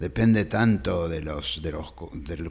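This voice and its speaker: A man's very deep, low pitch with vocal fry, ordinary pitch variation and a fairly slow pace. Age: 70s. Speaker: historian and professor. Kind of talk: interview conversation. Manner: halting with many fillers and repetitions.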